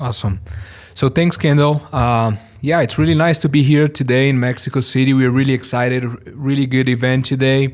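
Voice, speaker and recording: In a Portuguese accent, a man speaks fairly quickly at a medium pitch with fairly even intonation. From Brazil, São Paulo. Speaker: business executive. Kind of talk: interview. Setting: recorded at a live event. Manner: halting, with self-corrections.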